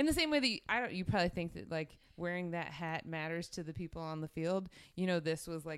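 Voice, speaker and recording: A woman with an American accent speaks at a fairly quick pace in a plain, everyday voice, her pitch fairly low with ordinary variation, on a very clean recording with a silent background. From South Jersey, US. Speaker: podcast guest, sports fan. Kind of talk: casual chat.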